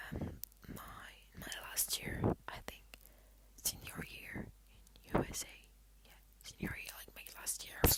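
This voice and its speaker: Someone whispers at a very slow pace. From Belgium and Poland. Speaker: ASMR creator. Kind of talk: casual Q&A, ASMR. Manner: soft-spoken; halting, many fillers. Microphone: laptop.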